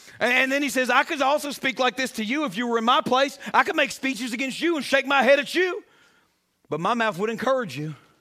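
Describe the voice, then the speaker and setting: Extremely high-pitched, a man speaks at a very fast pace in a raised, projected voice, bright and sharp in tone, animated, with lively intonation, in a very clean recording with a silent background. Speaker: pastor. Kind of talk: sermon. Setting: church. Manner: animated, exhorting the congregation; rhythmic call-and-response preaching with rhymes.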